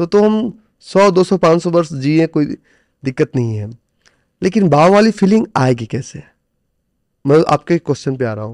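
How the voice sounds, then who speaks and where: The sound is dry and close, with no echo, as a man speaks at a fairly high pitch. His intonation is lively, broken by long, frequent pauses. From India, Bihar (village Noni). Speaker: stock trader and coach. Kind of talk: interview.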